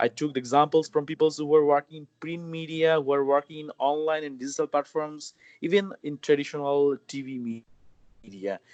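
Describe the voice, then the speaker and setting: A man speaking fairly quickly, dry and close with no echo, over a quiet background. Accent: Bangladeshi. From Bangladesh. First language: Bengali. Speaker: journalist and mobile journalism trainer. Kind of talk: interview. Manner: hesitant, many fillers.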